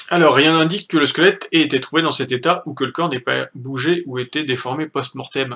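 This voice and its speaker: A man talks at a fairly quick pace with fairly even intonation. His tone is bright and sharp. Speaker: youtuber debunking a documentary; streamer reviewing a TV report. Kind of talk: live stream commentary. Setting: home live stream with chat. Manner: casual, hesitant with many fillers. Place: home room. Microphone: poor sound, usual recorder broken.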